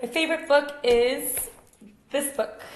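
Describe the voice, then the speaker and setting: A woman's pitch varies in an ordinary way as audible room echo and noticeable background noise sit behind her. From Sweden, Uppsala and Stockholm. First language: Swedish. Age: 20s. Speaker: yoga teacher. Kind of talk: casual Q&A vlog.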